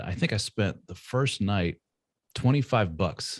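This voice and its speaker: This is a man speaking with an American accent. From Indiana, US Midwest. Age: 40s. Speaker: author and podcaster, former radio presenter. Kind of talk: podcast interview. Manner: relaxed, conversational.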